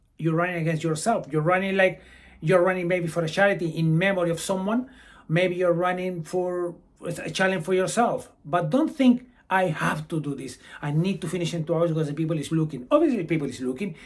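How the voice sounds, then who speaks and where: With a Brazilian accent, a man speaks at a fairly quick pace in a high pitch, using ordinary pitch variation. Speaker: amateur runner and running vlogger. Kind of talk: advice vlog.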